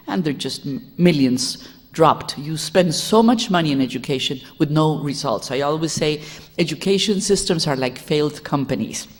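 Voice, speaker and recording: A woman's very deep, low voice with lively intonation and a Spanish accent. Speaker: education reformer and sociologist. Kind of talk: lecture. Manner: fast.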